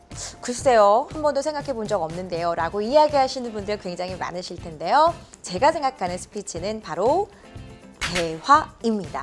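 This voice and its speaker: Very wide pitch swings and big shifts in loudness at a moderate pace, with music in the background. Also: woman, fairly high pitch for a woman. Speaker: announcer and speech coach. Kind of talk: speech training lecture.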